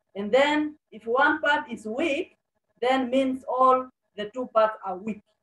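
The speaker goes at a very slow pace with ordinary pitch variation, and audible room echo can be heard. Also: woman. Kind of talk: sermon. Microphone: video call.

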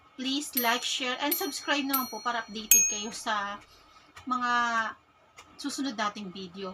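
Her voice high and her pitch variation ordinary, a woman speaks at a moderate pace with long, frequent pauses against noticeable background noise. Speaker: vlogger. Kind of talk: casual vlog.

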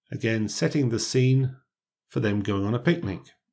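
Captured in a very clean recording with a silent background, a man speaks at a fairly slow pace in a dark, mellow, somewhat breathy tone. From Britain. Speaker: English teacher. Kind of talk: tutorial. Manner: clear, measured.

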